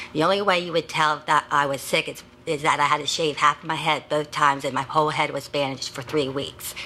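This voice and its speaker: A woman talks at a very fast pace in a very deep, low voice, her intonation monotone and flat, with noticeable background noise behind her. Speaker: patient advocate giving public comment. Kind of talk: testimony. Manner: halting.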